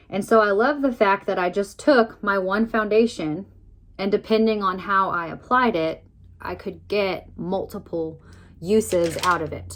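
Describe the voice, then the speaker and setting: At a fairly slow pace, a woman speaks in an unremarkable speaking voice, medium in pitch, with ordinary pitch variation. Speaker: makeup tutorial vlogger. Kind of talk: tutorial.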